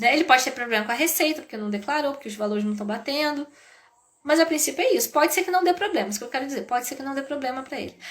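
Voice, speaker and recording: This woman has a high-pitched voice and an animated tone. Her intonation is lively. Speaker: business educator. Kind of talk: live stream talk.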